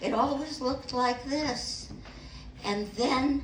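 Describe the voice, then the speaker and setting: A woman speaks at a very slow pace. There is noticeable background noise and audible room echo. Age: 80s+. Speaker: stand-up comedian. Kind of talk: stand-up. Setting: stage with audience.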